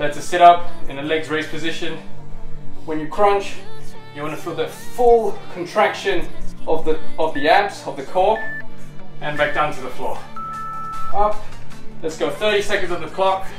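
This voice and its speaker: A man speaks at a moderate pace with ordinary pitch variation, leaving long, frequent pauses. The room echo is audible, and music plays clearly in the background. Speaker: fitness instructor. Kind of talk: workout tutorial instruction. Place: home room. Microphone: camera far.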